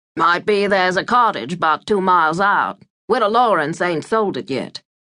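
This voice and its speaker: At medium pitch, a woman performs a put-on character voice at a moderate pace. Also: ordinary pitch variation. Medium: read story. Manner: terse, slow and deliberate.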